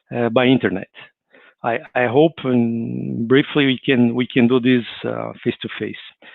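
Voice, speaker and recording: With a Brazilian accent, a man speaks at a medium pitch and a fairly slow pace. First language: Portuguese. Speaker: spiritist speaker. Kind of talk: livestreamed talk. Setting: online livestream. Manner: halting, with many repetitions and fillers.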